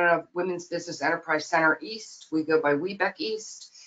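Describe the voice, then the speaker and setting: A woman with a normal speaking voice talks at a moderate pace, her pitch medium and its variation ordinary. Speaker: nonprofit president. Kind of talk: webinar presentation. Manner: many fillers, um and uh.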